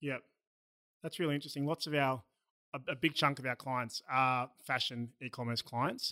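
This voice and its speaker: In an Australian accent, a man talks at a moderate pace with a bright, sharp tone and fairly even intonation. The recording is very clean with a silent background and a dry, close sound with no echo. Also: medium pitch for a man. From Melbourne, Australia. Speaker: podcast host. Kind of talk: casual interview. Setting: studio.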